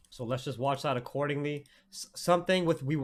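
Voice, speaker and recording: This man's pitch sits fairly high, with ordinary pitch variation. He talks at a fairly quick pace. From Canada, Toronto area (Oakville). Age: 20s. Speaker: forex trader and trading streamer. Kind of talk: live trading stream analysis. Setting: live stream. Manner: casual, animated.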